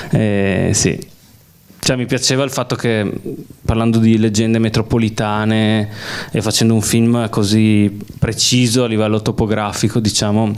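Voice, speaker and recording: At a moderate pace, a man speaks at medium pitch with monotone, flat intonation, very even loudness, and long, frequent pauses. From Veneto, Belluno area (Sedico). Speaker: film director. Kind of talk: public Q&A talk. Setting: cinema with audience.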